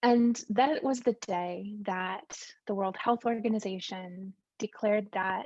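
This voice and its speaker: Dry and close with no echo and a quiet background, this recording has a woman with an American accent speaking at a fairly slow pace. She has a medium pitch, fairly even intonation, and an unremarkable speaking voice. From United States. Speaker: science communicator. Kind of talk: conference talk. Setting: video call.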